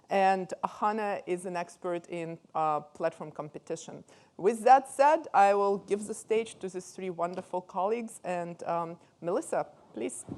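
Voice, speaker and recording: A woman's fairly slow speech in a Russian accent, medium in pitch with ordinary pitch variation and big swings in loudness, on a very clean recording with a silent background. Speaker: professor, conference moderator. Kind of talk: speaker introduction. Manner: hesitant, many fillers.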